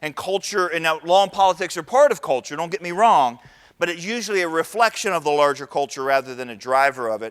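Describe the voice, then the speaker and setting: A man's high-pitched, very fast speech in an American accent, in a very clean recording with a silent background. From Northern Virginia. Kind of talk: lecture. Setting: conference stage with audience.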